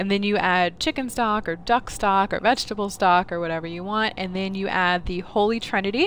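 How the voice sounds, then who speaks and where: A woman with an American accent at a fairly quick pace, hardly any pauses and ordinary pitch variation, dry sound with no echo and light background noise. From US South, New Orleans; Louisiana. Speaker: game streamer. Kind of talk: casual chat. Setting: live stream on camera. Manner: rambling, filler-heavy. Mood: relaxed, smiling. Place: home room.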